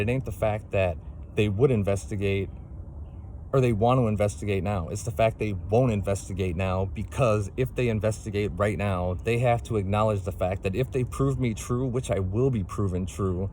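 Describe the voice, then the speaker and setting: A man's fairly low, somewhat breathy voice with a dark, mellow tone, ordinary pitch variation and a moderate pace. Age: 40s. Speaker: single parent making a complaint video. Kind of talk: personal testimony monologue. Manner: impassioned, repetitive with fillers.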